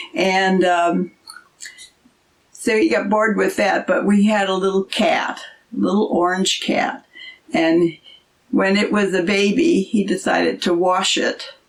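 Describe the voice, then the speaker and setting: A woman speaks at a fairly slow pace with long, frequent pauses. Her medium pitch has ordinary variation, and her loudness stays very even. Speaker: host's mother, storyteller. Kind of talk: casual storytelling interview. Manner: soft-spoken.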